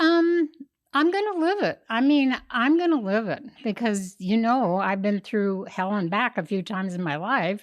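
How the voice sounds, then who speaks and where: Against a quiet background, a woman with an American accent and a fairly high pitch makes very wide pitch swings. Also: moderate pace. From Kansas. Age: 80s+. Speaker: host's mother, guest. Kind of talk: interview conversation.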